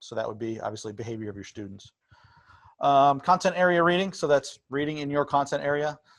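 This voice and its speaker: A man talks fairly quickly, with little sound around him. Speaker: college education professor. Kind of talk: lecture. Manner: fast.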